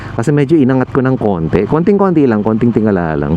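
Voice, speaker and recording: There is noticeable background noise. Over it, a man talks at a fairly quick pace. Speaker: motovlogger. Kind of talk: casual vlog narration while riding. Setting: riding a motorcycle at night. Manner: relaxed, conversational.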